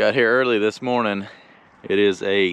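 A man speaks at a moderate pace with fairly even intonation. His fairly low pitch belongs to an unremarkable speaking voice. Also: dry sound with no echo. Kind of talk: casual vlog chat. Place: open country. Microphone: phone near.

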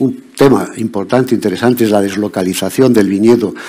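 Delivered at a fairly quick pace, the speech has ordinary pitch variation. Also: man. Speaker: conference speaker. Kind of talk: lecture.

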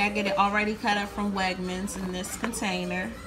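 The speaking pace is moderate. Music plays clearly in the background. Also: woman. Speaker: home cook vlogger. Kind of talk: casual cooking tutorial. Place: kitchen. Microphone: phone near.

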